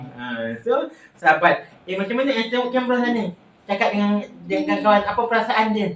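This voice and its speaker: Animated in tone, a man speaks at a fairly quick pace and a high pitch with ordinary pitch variation, against noticeable background noise. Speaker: vlogger. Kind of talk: casual chat.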